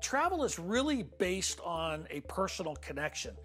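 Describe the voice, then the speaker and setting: The talking is fairly slow, with music in the background. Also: woman. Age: 60s. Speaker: travel agency owner. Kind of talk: corporate interview.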